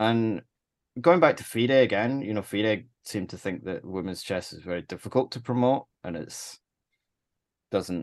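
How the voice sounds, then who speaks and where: With lively intonation, a man speaks at a medium pitch. His pace is moderate, and the background is quiet. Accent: Scottish. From Scotland. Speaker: chess tournament organizer. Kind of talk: casual chat.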